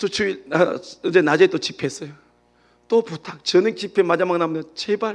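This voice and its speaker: A man speaks with a Gyeongsang accent in a high voice. His pitch varies in an ordinary way against a quiet background. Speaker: pastor. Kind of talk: sermon. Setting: church. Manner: fast.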